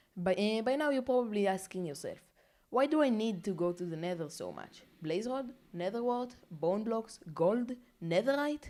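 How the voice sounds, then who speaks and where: A woman's medium-pitched voice with a non-native accent, a fairly slow pace and lively intonation. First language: not English. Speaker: gaming YouTuber. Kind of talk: narrated gameplay commentary. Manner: casual.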